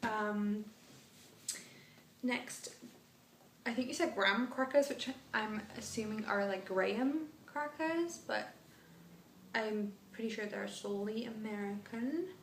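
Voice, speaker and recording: The speech moves at a fairly slow pace with long, frequent pauses and ordinary pitch variation, set against audible room echo and noticeable background noise. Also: woman, fairly high pitch for a woman. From northern England, Manchester. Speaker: vlogger. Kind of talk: casual vlog monologue. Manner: hesitant, many fillers.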